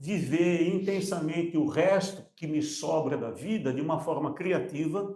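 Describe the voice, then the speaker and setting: Fairly slow in pace, a man speaks at a high pitch. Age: 70s. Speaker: entrepreneur. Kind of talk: panel discussion.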